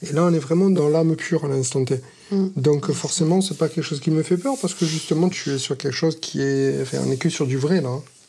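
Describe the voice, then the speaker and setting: A man's fairly high voice with a dark, mellow tone. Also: ordinary pitch variation, fairly quick pace. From Marseille, southern France. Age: 40s. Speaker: pizzeria owner, dating show participant. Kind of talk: casual chat, blind date. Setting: in total darkness, recorded date.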